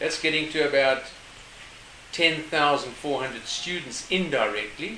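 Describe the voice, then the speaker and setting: Ordinary pitch variation in a man's medium-pitched voice, heard through noticeable background noise. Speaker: project manager, turtle conservation. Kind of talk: casual interview.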